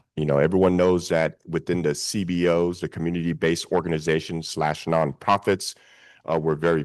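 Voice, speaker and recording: A man with a very deep, low voice at a fairly quick pace, over a quiet background. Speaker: nonprofit executive director. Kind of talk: panel discussion. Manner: sounds combative, forceful.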